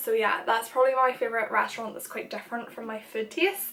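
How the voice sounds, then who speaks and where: A woman with a Northern Irish accent, against noticeable background noise. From Northern Ireland. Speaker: YouTuber and makeup artist. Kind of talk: casual chat. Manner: animated.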